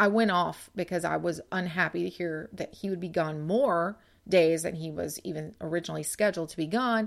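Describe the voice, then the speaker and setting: On a very clean recording with a silent background, a woman with a normal speaking voice talks at a fairly quick pace with hardly any pauses, her pitch fairly low and ordinary in variation. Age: 40s. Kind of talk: devotional podcast monologue. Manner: conversational.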